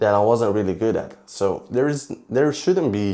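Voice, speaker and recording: In a Romanian accent, a man speaks at a fairly low pitch. His tone is dark and mellow, with ordinary pitch variation. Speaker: fitness vlogger. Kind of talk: vlog monologue. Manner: halting.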